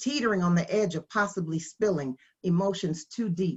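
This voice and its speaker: A woman speaks at a moderate pace in a somewhat breathy voice, fairly low in pitch with lively intonation. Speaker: spoken word poet. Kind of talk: spoken word poetry performance.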